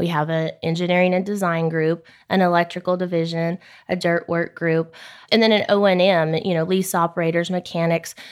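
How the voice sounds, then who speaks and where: A woman speaks fairly quickly in a Texan accent, her intonation monotone and flat. The recording is very clean with a silent background. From South Texas. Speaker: oil services general manager. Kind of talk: interview.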